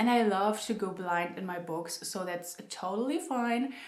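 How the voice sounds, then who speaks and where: A woman with a non-native accent is heard with audible room echo and noticeable background noise. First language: not English. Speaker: book youtuber. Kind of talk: casual chat. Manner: chatty, many fillers.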